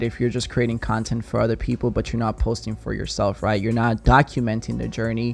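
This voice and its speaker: With music in the background, a man speaks at a medium pitch in a strong non-native accent. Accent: very strong non-native. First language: not English; English is fourth language. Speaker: video production agency owner. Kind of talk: podcast interview.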